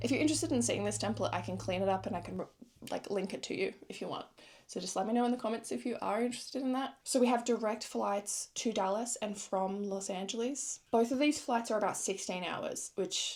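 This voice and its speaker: Someone with an Australian accent speaks at a fairly quick pace with lively intonation. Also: woman, very clean recording, silent background. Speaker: travel vlogger. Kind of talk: casual vlog chat. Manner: animated.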